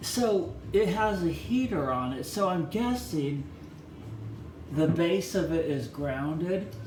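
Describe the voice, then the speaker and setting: A man speaks at a very slow pace with very wide pitch swings, with audible room echo and noticeable background noise. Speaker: electronics hobbyist YouTuber. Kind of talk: casual hands-on teardown tutorial. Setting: bathroom. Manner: loud.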